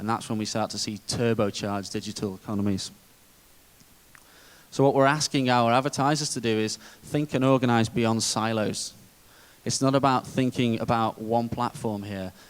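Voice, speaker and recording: A man's medium-pitched voice with a British accent, fairly even intonation, a moderate pace and long, frequent pauses. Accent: British, described as dull. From UK. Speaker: conference speaker, digital media executive. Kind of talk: conference presentation.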